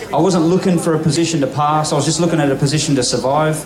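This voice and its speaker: Over crowd noise and audible room echo, a man with an Australian accent talks at a very fast pace, his fairly high pitch held to a fairly even intonation. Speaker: motorcycle road racer. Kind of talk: live interview on stage. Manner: fast, with frequent fillers and repeats.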